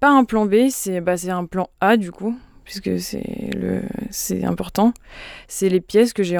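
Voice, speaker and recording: A plain, everyday voice moves at a fairly slow pace. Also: woman. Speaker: pianist. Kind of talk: interview.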